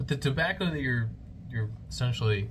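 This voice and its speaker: A man speaks at a medium pitch with vocal fry. His intonation is lively. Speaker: cigar reviewer and cigar shop salesman. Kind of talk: product review to camera. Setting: cigar shop, alone on camera. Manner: halting, self-described stuttering on camera.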